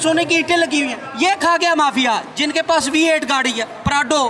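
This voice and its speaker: Noticeable background noise sits behind a man speaking in a raised, projected voice. His pitch is extremely high, with ordinary variation. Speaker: political speaker. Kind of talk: political speech. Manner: animated.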